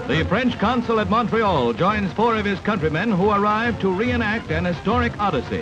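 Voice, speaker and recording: Clear music plays behind a man with an American accent. He talks at a moderate pace with a high pitch. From United States. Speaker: newsreel narrator. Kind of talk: 1940s newsreel narration. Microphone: old recording.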